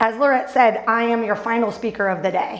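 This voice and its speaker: A woman with an American accent talks at a fairly quick pace and a fairly high pitch. Audible room echo and noticeable background noise surround her voice. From northern US. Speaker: business coach and speaker. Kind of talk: conference presentation. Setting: stage with audience. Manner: fast; animated.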